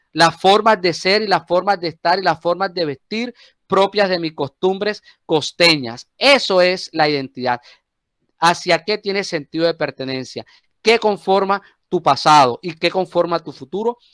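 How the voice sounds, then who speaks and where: Speaking at a fairly slow pace, a man with a high voice uses ordinary pitch variation in a dry, close recording without echo. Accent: Colombian Caribbean. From Colombian Caribbean coast, Cartagena. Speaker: teacher. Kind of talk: class discussion. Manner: halting, repeats words.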